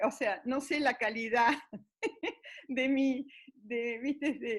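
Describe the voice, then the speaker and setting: A woman speaks in a high voice with an Argentine accent. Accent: Argentine Spanish (Rioplatense). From Argentina. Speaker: grandmother storyteller. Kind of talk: interview answer. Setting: internet call. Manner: hesitant.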